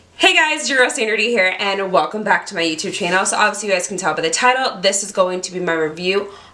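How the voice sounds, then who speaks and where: Speaking at a very fast pace with hardly any pauses, a woman uses lively intonation at a medium pitch. Noticeable background noise and audible room echo fill the recording. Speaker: beauty YouTuber. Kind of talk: product review vlog. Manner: animated.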